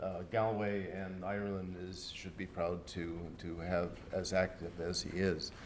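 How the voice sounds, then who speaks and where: Very deep and low, a man's voice runs on with hardly any pauses. His intonation stays flat and monotone, and room echo can be heard. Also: fairly slow pace. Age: 60s. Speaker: professor, keynote speaker. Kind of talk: keynote lecture.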